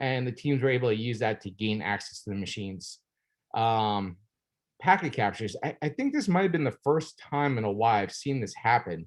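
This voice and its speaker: At a fairly quick pace, a man talks with lively intonation and medium pitch against a quiet background. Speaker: red team lead at cybersecurity competition. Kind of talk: presentation debrief. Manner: fast.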